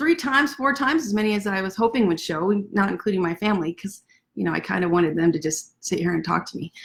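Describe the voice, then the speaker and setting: A woman talks at a very fast pace in a medium pitch. Her intonation is lively and her tone animated. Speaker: author. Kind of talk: casual chat. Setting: livestream from home desk.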